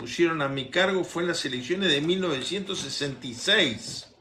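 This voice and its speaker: Over noticeable background noise and audible room echo, a man talks in a high voice with lively intonation. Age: 70s. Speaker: politician. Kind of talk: interview.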